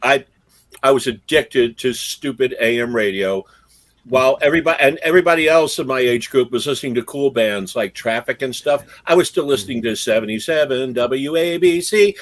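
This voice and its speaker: A man with a normal speaking voice talks fairly quickly at a medium pitch, with ordinary pitch variation. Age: 60s. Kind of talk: casual chat.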